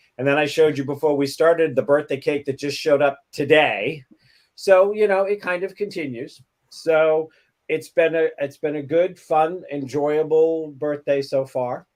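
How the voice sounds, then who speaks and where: At a moderate pace, a man talks in an ordinary speaking voice, fairly high in pitch, with fairly even intonation. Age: 60s. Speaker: talk show co-host. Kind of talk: casual chat.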